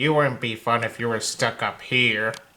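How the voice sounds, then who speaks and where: In a put-on character voice, a man speaks at a moderate pace with a medium pitch. His intonation stays monotone and flat. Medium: read story. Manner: grumpy, irritable.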